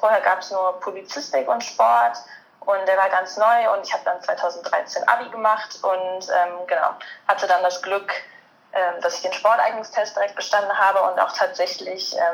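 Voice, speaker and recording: Backed by music, a woman speaks at an average pace. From Germany, Cologne area. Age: 20s. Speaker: master's student and sports journalist. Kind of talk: interview.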